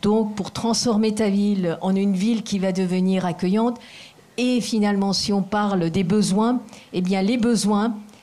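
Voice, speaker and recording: A woman's medium-pitched voice with a non-native accent, dark, mellow tone, fairly even intonation and fairly slow pace. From Asia. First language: not French (speaking French). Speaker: foundation president. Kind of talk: formal speech. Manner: halting.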